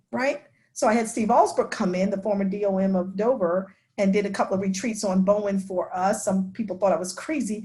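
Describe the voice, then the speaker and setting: Speaking in an American accent at a fairly quick pace, a woman has a medium pitch, a dark, mellow tone, a somewhat breathy quality and ordinary pitch variation. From New York, Long Island. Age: 60s. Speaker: denominational ministry executive. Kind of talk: class discussion talk.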